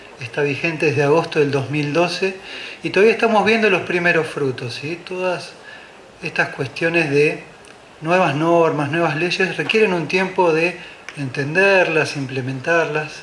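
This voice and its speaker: With audible room echo and noticeable background noise, a man talks fairly slowly in a high pitch with ordinary pitch variation. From Argentina, Buenos Aires. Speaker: architect, conference speaker. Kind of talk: conference talk. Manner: hesitant fillers (eh).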